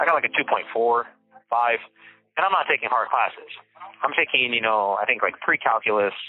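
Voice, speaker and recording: At a moderate pace, a man talks in a medium pitch with very even loudness and an unremarkable speaking voice. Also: ordinary pitch variation. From California (Bakersfield), Mexican-American family. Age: 30s. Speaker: formerly incarcerated man sharing his life story. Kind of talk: personal testimony in interview. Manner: conversational with many fillers.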